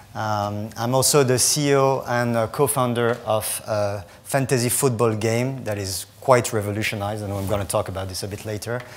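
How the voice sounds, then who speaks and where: A man talks with a French accent and hardly any pauses. His intonation is fairly even, and room echo can be heard. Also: medium pitch for a man, moderate pace. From France. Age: 40s. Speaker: startup founder and CEO. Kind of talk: conference talk.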